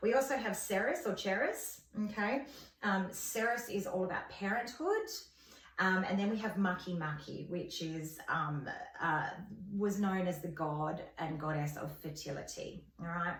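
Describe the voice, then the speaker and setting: Lively intonation marks this woman's speech in an Australian accent, delivered at a fairly slow pace. The room echo is audible. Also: medium pitch for a woman. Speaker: astrology vlogger. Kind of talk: informal tutorial. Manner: hesitant, many fillers.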